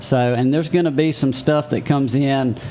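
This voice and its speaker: With a Southern US accent, a man talks at a fairly quick pace in a medium pitch with fairly even intonation, over noticeable background noise. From Mississippi (Meridian). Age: 40s. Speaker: city council candidate and realtor. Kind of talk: interview.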